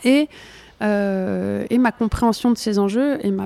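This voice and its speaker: At a very slow pace, a woman with a fairly high pitch and a dark, mellow tone speaks in a dry, close sound with no echo. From France, Burgundy. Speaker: journalist and author. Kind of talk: interview. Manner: halting.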